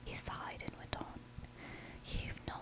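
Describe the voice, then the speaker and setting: Noticeable background noise accompanies a whisper delivered at a moderate pace. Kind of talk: audiobook reading of a children's novel. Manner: whispered.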